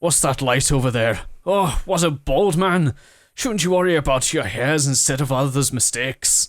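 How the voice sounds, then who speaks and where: A man puts on a character voice, raised and projected at a fairly high pitch, on a very clean recording with a silent background. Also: moderate pace. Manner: gruff, mocking.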